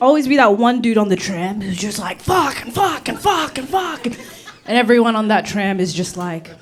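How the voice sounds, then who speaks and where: Amid audible room echo and noticeable background noise, a woman with a fairly high pitch talks in an animated tone at a moderate pace, her pitch swinging very widely. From Australia (Rockhampton, Queensland), born in Uganda. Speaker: comedian. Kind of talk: stand-up. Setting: stage with audience.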